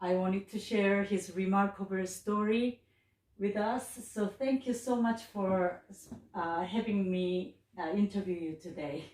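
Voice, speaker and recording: At a fairly slow pace, a woman with a plain, everyday voice keeps a medium pitch and fairly even intonation. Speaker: interviewer, pilot. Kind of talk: interview host.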